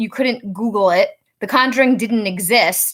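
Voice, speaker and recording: A woman with a Rhode Island accent, fairly high in pitch, on a very clean recording with a silent background. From Rhode Island, US. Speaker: psychic medium. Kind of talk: casual storytelling livestream. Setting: outdoors in backyard.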